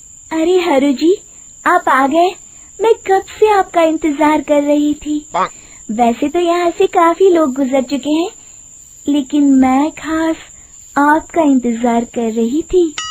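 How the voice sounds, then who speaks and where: Over light background noise, a woman does a high-pitched, cackling put-on character voice at a fairly slow pace. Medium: cartoon. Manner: sweet-talking then cackling.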